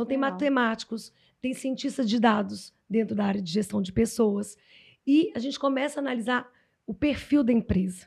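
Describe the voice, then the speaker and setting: A woman's fairly high, somewhat breathy voice carries a dark, mellow tone and ordinary pitch variation. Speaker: HR consultant and psychologist. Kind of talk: podcast interview.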